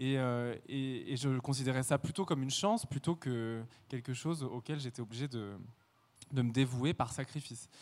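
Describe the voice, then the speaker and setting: On a very clean recording with a silent background, a man uses a normal speaking voice at a medium pitch, moderate pace and ordinary pitch variation. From France, rural Burgundy. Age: 20s. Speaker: ballet dancer. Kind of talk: interview testimony.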